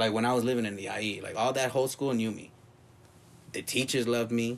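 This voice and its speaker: This man speaks at medium pitch with an American accent. His intonation is fairly even. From Los Angeles (South Central and West LA). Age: 30s. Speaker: punk drummer. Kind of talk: casual chat.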